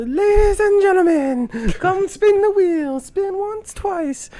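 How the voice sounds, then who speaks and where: In a put-on character voice, the speaker is loud and squeaky at an extremely high pitch, moving at a fairly slow pace. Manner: showy, promotional.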